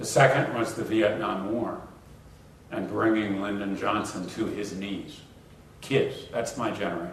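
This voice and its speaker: In a room with audible echo and noticeable background noise, a man with an American accent talks at a fairly slow pace, his fairly low pitch held in fairly even intonation. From United States. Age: 60s. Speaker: professor. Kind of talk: lecture Q&A.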